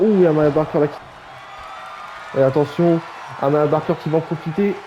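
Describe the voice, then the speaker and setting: Over crowd noise in the background, a man talks at a fairly slow pace in a fairly high voice. His tone is excited and energetic. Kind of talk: wrestling match commentary. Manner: excited, energetic.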